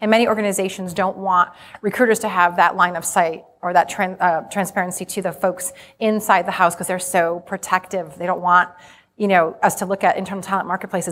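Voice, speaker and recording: A woman with an American accent and a plain, everyday voice, medium in pitch, at a fairly quick pace with fairly even intonation. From Rhode Island, US. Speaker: HR conference speaker. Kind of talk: conference presentation to live audience. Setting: stage with audience.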